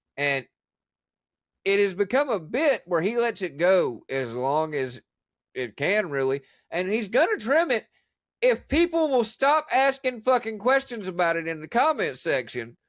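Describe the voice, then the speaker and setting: In a very clean recording with a silent background, a man with a high voice speaks loudly in an animated tone at a fairly slow pace, with very wide pitch swings. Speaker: podcast host. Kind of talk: casual chat.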